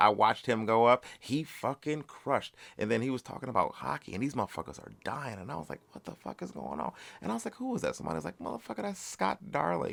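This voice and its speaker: A man talks very fast in an animated tone, his pitch swinging very widely and his voice showing vocal fry. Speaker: comedian and podcast host. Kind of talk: casual solo podcast monologue. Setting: home recording alone with mic. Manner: halting, tongue-tied with many fillers.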